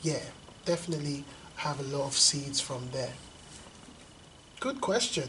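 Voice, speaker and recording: Amid noticeable background noise and audible room echo, a man talks at a fairly high pitch with fairly even intonation. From London and Lagos, Nigeria. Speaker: poet and hip hop artist. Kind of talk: interview. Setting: school.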